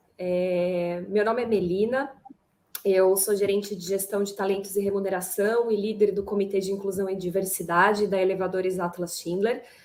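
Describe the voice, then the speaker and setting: Speaking at a moderate pace, a woman keeps a medium pitch and a monotone, flat intonation. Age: 30s. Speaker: HR manager, panel moderator. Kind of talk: panel discussion.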